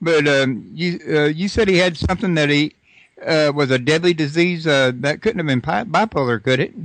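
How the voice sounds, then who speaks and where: A man with a Texas accent speaks at a moderate pace in a fairly high voice, with ordinary pitch variation and very even loudness. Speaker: radio host. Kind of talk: interview.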